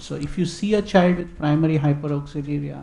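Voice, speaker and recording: A soft-spoken man talks at a fairly quick pace with a fairly high pitch and fairly even intonation. Noticeable background noise is present. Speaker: doctor, conference panelist. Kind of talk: medical conference panel discussion. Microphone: too quiet, far from mic.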